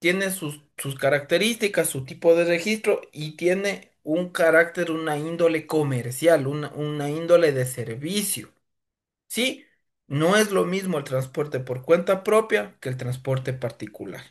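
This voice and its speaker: Against a quiet background, a man with a plain, everyday voice talks at a fairly slow pace in a fairly high pitch with lively intonation. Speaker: lawyer and driving school instructor. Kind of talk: lecture. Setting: evening class.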